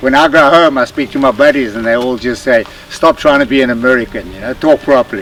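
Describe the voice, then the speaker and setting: Over background music, a man speaks at a very fast pace and medium pitch. His loudness swings widely, and his pitch varies in an ordinary way. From South Africa. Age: 70s. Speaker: veteran motocross racer. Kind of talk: casual interview.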